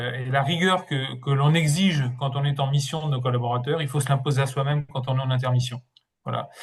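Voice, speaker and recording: At a fairly quick pace, a man speaks in a somewhat breathy voice, fairly high-pitched, with fairly even intonation. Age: 60s. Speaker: interim manager and career coach. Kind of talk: webinar presentation. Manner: hesitant, with many fillers and repetitions.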